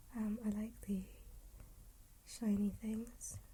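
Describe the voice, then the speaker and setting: A woman speaks in a fairly high, somewhat breathy voice with a dark, mellow tone. Her intonation stays monotone and flat. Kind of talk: casual conversation. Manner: soft-spoken.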